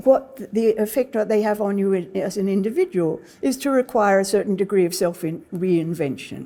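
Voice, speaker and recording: Speaking at a moderate pace with a British accent, a woman has a dark, mellow tone, a medium pitch and ordinary pitch variation. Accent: British-sounding. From Australia. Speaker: historian. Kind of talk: lecture. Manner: halting.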